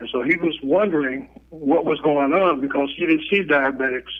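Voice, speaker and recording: The delivery comes at a moderate speed. It is an unremarkable speaking voice whose pitch shifts in an ordinary way. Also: man. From Chicago. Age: 60s. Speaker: diabetes educator. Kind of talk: interview. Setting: phone call.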